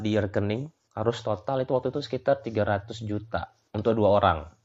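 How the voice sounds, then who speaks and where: Pitched in the medium range, a man talks in an ordinary speaking voice. He keeps a moderate pace with fairly even intonation. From Lombok, Indonesia (Sasak). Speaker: migrant worker in Australia. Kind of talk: casual interview chat.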